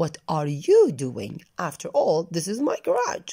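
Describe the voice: A put-on character voice at a middle pitch moves at a fairly slow pace.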